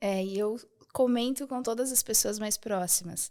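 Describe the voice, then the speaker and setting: A woman with a fairly high pitch, speaking at a fairly slow pace with fairly even intonation. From southern Brazil, rural Rio Grande do Sul. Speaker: architect and femininity content creator. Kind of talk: podcast interview.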